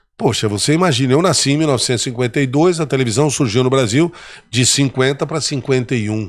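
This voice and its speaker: A man races along at a very fast pace, his medium pitch showing ordinary variation. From interior of São Paulo state, Brazil. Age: 70s. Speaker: state politician and former TV presenter. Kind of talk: interview storytelling.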